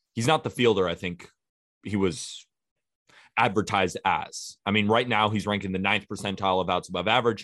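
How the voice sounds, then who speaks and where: A man speaks with a plain, everyday voice, his pitch fairly low and his pace fairly quick. His intonation stays fairly even, and the very clean recording has a silent background. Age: 20s. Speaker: baseball podcast host. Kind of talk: casual chat.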